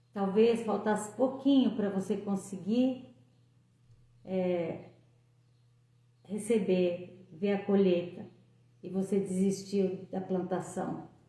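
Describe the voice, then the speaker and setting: A woman's somewhat breathy voice, medium in pitch, dark and mellow in tone, at a very slow pace with long, frequent pauses, fairly even intonation and audible room echo. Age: 60s. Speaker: lay preacher. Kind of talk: devotional talk.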